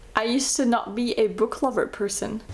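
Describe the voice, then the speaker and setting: A woman speaks at a fairly slow pace with a fairly high pitch. Noticeable background noise runs underneath. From France, born in Slovakia. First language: Slovak. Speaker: beauty vlogger. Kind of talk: casual chat. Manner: conversational.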